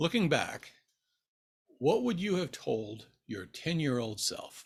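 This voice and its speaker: At a very slow pace, a man with an American accent and a fairly high pitch speaks with vocal fry and very wide pitch swings. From Nebraska, US Midwest. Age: 60s. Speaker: book YouTuber. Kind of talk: casual vlog Q&A. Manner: relaxed, with frequent fillers.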